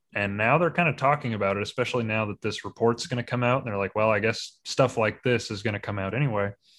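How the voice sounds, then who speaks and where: With an American accent, a man talks at a very fast pace with hardly any pauses, his medium pitch showing ordinary variation. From US Midwest. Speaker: podcast host. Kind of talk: casual chat.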